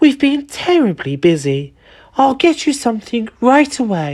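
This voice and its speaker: A woman does a put-on character voice, high-pitched with very wide swings in pitch. She speaks at a moderate pace. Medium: read story. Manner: anxious, shrill.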